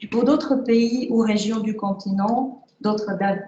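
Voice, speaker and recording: A woman speaks with a Czech accent. Her pace is fairly slow. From Czechoslovakia. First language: Czech (speaking French). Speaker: award-winning author. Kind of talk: reading aloud; acceptance speech. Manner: halting.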